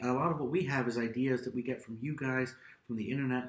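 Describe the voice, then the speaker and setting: Somewhat breathy, a man talks at a very fast pace with a fairly high pitch. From Austria (American-born, raised in Europe). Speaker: YouTube vlogger. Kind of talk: casual chat.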